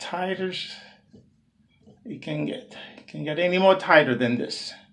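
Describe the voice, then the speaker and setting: Over noticeable background noise, a man speaks very slowly with ordinary pitch variation. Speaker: DIY video maker. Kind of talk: tutorial. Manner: halting, many fillers; loud.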